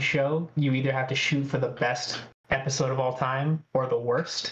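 Fairly even in intonation, this man speaks at a moderate pace with an American accent. His voice is an unremarkable speaking voice, fairly high in pitch. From Northern California (Redding). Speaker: podcast guest, sports podcaster. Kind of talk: casual chat. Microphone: unstable internet connection.

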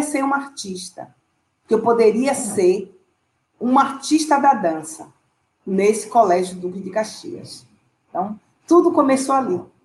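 With lively intonation and long, frequent pauses, a woman speaks at a fairly slow pace. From Salvador, Bahia, Brazil. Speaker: dancer and dance teacher. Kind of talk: interview.

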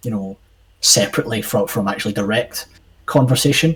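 A man with a Scottish accent and a somewhat breathy voice. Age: 20s. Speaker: podcast co-host. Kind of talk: casual chat.

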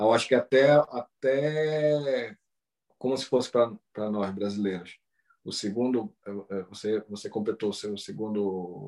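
A man at a medium pitch talks fairly slowly with ordinary pitch variation, big swings in loudness, and long, frequent pauses. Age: 40s. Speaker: Brazilian living in Japan, travel content creator. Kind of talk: casual interview. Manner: hesitant, repeats words.

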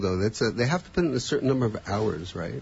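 A man's voice comes through somewhat breathy. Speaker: radio host. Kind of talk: radio talk show hosting. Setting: studio.

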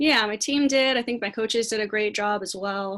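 In a very clean recording with a silent background, a woman with an American accent speaks at a moderate pace. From Southern California, La Mirada. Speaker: college soccer coach. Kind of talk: interview.

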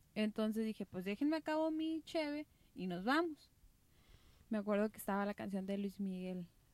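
The speaker has a Mexican accent and very wide pitch swings at a moderate pace. The sound is dry and close, with no echo. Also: woman, fairly high pitch for a woman. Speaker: podcast co-host. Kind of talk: casual chat.

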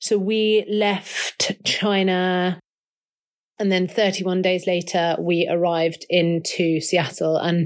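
In a London accent, a woman speaks at a medium pitch with monotone, flat intonation. The recording is very clean, with a silent background. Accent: southern English (London). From southwest London. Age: 30s. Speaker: ocean rower. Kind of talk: interview. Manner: casual, with filler words.

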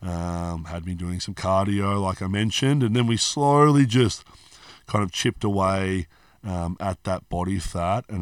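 In an Australian accent, a man speaks at a moderate pace in a very deep, low voice with ordinary pitch variation, on a very clean recording with a silent background. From Australia (Hobart, Tasmania). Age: 30s. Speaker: personal trainer and gym owner. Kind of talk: casual interview chat.

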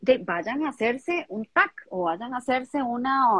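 Her voice high and her intonation lively, a woman talks at a fairly slow pace. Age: 50s. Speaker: emotional coach for women. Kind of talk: casual chat. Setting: video livestream.

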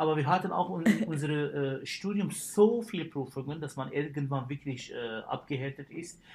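Speaking with an Arabic accent, a man uses a fairly high pitch with ordinary variation. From Syria. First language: Arabic (speaking German). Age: 30s. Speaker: dentist. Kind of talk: casual chat. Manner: hesitant, many fillers.

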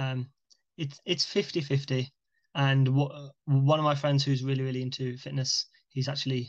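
A man's fairly high, somewhat breathy voice with a British accent, monotone and flat, against a quiet background. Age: 20s. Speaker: young entrepreneur. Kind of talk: casual chat.

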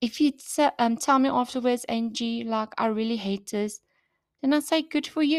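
The delivery has an animated tone. The recording is very clean with a silent background and a dry, close sound with no echo. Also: woman. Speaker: fitness podcaster, bikini bodybuilding competitor. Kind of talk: casual solo podcast monologue. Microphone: new podcast microphone.

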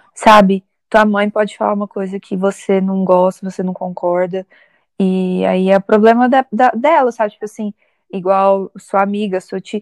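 A woman with an unremarkable speaking voice, medium pitch and a moderate pace, in a dry, close sound with no echo and a quiet background. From Minas Gerais, Brazil. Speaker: podcast co-host. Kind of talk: casual chat.

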